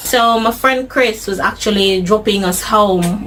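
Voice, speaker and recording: A woman with a British accent and a medium pitch speaks over noticeable background noise. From Jamaica. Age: 30s. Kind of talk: interview answer.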